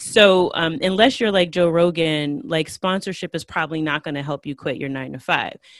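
A woman with an American accent and a plain, everyday voice, fairly low in pitch, with lively intonation, a moderate pace and hardly any pauses. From United States. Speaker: Spanish teacher and podcaster. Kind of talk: interview.

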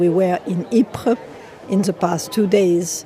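A fairly low-pitched woman's voice amid noticeable background noise. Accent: French. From France. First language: French. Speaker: war commemoration commissioner. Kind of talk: interview reflection.

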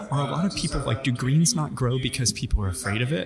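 Over noticeable background noise, a man with a fairly high pitch speaks at a fairly quick pace, his pitch swinging very widely. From US Midwest. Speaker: podcast host. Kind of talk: casual interview chat. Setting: live event on site. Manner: animated, upbeat.

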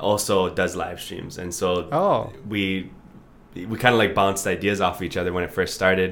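A man talks at a moderate pace in a very deep, low voice, his intonation fairly even. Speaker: singer-songwriter. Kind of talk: casual chat.

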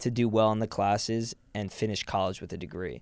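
A normal speaking voice from a man with an American accent, medium pitch and a moderate pace, in a very clean recording with a silent background. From New York City. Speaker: podcast co-host. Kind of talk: casual chat.

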